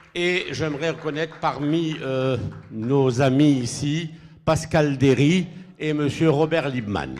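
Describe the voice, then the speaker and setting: This man has a fairly high pitch and fairly even intonation, speaking at a very slow pace. Noticeable background noise is present. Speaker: event moderator. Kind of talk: event introductions.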